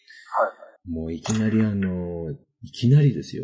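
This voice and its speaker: A man with a normal speaking voice talks at a moderate pace using lively intonation. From northern Kanto, Japan. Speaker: podcast host. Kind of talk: casual chat.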